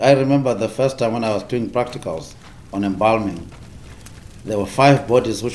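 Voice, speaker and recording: A man at medium pitch and moderate pace, with ordinary pitch variation, noticeable background noise and audible room echo. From South Africa. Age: 60s. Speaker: undertaker. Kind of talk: interview.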